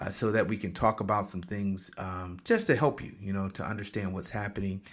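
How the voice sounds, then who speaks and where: Recorded very cleanly against a silent background, a man with an American accent uses a normal speaking voice at a fairly low pitch with fairly even intonation. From Michigan. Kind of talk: casual solo talk with motivational teaching. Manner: conversational with frequent fillers.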